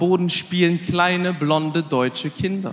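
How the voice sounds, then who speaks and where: Speaking at a fairly slow pace, a man has a high pitch and an animated tone. Light background noise can be heard. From Aachen area, Germany; Germany. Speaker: comedian. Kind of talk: stand-up. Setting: stage with audience. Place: stage. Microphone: handheld.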